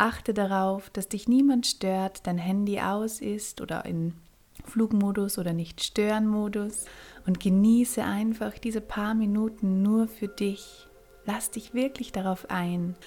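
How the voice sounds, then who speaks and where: Very slowly, a woman speaks in a dark, mellow tone that is soothing and calm. Her voice is somewhat breathy, with fairly even intonation. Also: medium pitch for a woman. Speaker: podcast host and meditation guide. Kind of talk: guided meditation. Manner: slow, soothing, calm; gentle, with long pauses.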